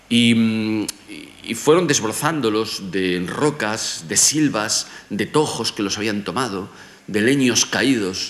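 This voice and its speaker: Audible room echo and noticeable background noise around a male speaker. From Galicia, Spain (Vigo). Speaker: professor. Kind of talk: lecture.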